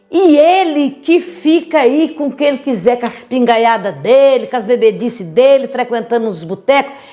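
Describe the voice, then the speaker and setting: A woman's high-pitched, animated voice with lively intonation at a moderate pace, music playing behind her. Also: hardly any pauses. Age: 70s. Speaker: church preacher giving testimony. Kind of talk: testimony.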